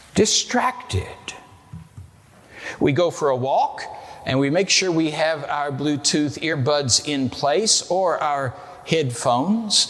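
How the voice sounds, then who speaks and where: A man with an American accent talks at a very slow pace, his fairly high voice carrying lively intonation. Long, frequent pauses break up his speech, and background noise is noticeable. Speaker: pastor. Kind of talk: sermon.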